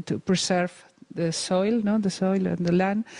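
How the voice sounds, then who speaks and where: A woman with a Spanish accent speaks in a dark, mellow tone. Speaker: event moderator, academic. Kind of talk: moderating a lecture Q&A. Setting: lecture hall with audience. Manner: halting.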